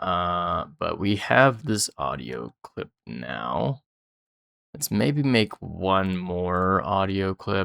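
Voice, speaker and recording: Vocal fry marks a man's very deep, low voice with a bright, sharp tone and very wide pitch swings, heard in a dry, close sound with no echo. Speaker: programming tutorial creator. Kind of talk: tutorial. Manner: casual, many filler words.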